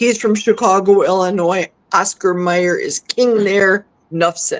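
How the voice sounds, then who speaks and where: In an ordinary speaking voice, a woman talks at a fairly slow pace with medium pitch and fairly even intonation, the sound dry and close with no echo. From US Midwest, Milwaukee. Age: 60s. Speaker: carnivore diet guest. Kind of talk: casual interview chat.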